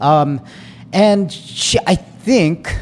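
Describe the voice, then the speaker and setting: Ordinary pitch variation marks a man's speech, heard with noticeable background noise. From US, Filipino immigrant family. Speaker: podcast host, dating advice. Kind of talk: casual chat. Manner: animated, filler-heavy.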